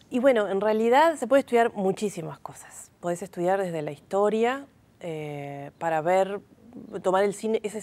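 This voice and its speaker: The woman talks at a moderate pace, her medium-pitched voice lively in intonation. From Uruguay, Montevideo (Cerro); Uruguay. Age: 40s. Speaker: film researcher and teacher; teacher. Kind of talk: TV interview. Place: studio. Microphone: lapel.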